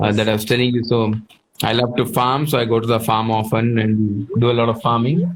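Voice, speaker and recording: A man with a Telugu accent talks at a fairly quick pace and medium pitch, with fairly even intonation and very even loudness. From southern India, Karnataka. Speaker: chef. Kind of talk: casual interview.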